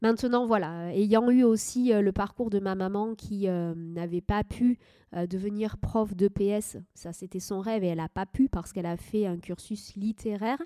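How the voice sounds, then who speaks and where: A woman's medium-pitched voice, dark and mellow in tone, with ordinary pitch variation, a fairly slow pace and a dry, close sound with no echo. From southwest France, Médoc. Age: 30s. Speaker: wedding and ceremony officiant. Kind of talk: interview.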